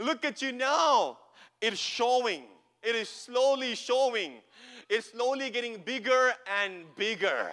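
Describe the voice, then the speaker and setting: Raised and projected, a man's extremely high, bright, sharp voice carries an animated tone, with ordinary pitch variation at a fairly slow pace. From India (Kerala). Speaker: pastor. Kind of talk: Pentecostal revival preaching, call-and-response with congregation. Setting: church service with live audience. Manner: animated, rising exhortation with repeated rhetorical questions; emphatic, building crescendo with calls for amens.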